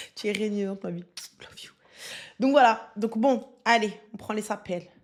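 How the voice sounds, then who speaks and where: An animated tone at a fairly slow pace, with big swings in loudness. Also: woman, fairly high pitch for a woman. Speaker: online streamer. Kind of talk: live stream chat reading comments. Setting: live stream.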